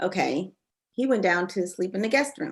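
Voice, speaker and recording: A woman's bright, sharp voice at a medium pitch, with lively intonation and a moderate pace. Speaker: life coach and panelist. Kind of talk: panel discussion. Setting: live video panel.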